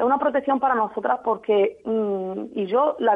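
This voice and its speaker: Speaking in a normal speaking voice, a woman uses a fairly high pitch and ordinary pitch variation. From Spain, Jaén (Andalusia). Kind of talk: radio interview.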